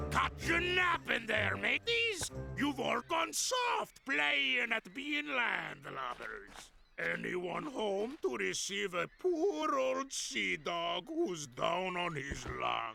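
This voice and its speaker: A man uses a cartoonish character voice at a very slow pace. He hardly pauses at all. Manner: salty pirate slang, hearty.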